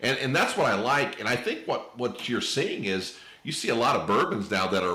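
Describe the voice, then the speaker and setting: With an American accent, a man talks in a space with audible room echo and noticeable background noise. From Indiana (Terre Haute). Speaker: podcast host. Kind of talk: casual interview chat.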